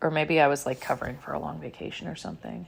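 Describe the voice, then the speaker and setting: This woman's pitch is very deep and low. Her voice has vocal fry. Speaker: podcast host, houseplant coach. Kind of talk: casual monologue. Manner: rambling, filler-heavy.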